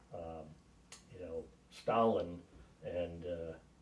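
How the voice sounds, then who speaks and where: With an American accent, a man speaks against noticeable background noise. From western New York, US. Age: 60s. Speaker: navy veteran, grandfather. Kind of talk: family interview. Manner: hesitant, with frequent fillers.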